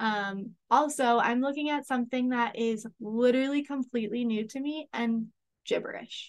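Against a quiet background, a woman with a high pitch speaks at a moderate pace with fairly even intonation. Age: 30s. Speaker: podcast host. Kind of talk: solo monologue. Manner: casual, laughing often.

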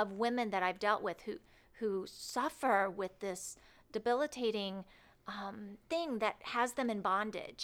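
A plain, everyday voice from a woman, with medium pitch and ordinary pitch variation. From Indiana (Cloverdale area). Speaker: recovery ministry worker. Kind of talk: interview.

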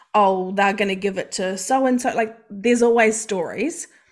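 Recorded very cleanly with a silent background, a woman speaks at a moderate pace with a fairly high pitch and fairly even intonation. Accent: New Zealand. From New Zealand. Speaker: mindset coach. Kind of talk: casual interview chat.

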